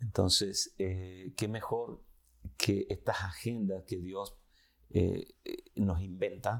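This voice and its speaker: In a very clean recording with a silent background, a man speaks at a very slow pace with fairly even intonation. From Chile. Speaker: pastor. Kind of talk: interview conversation. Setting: studio.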